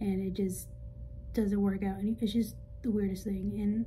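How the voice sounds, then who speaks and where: A woman's medium-pitched voice is dark, mellow and somewhat breathy, with monotone, flat intonation. She speaks at a fairly quick pace, and there is audible room echo. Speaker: vlogger. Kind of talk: casual vlog monologue. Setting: outdoors on a walk.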